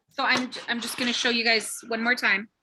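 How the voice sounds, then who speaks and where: A woman's raised, projected voice. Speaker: cooking workshop instructor. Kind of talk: live cooking tutorial.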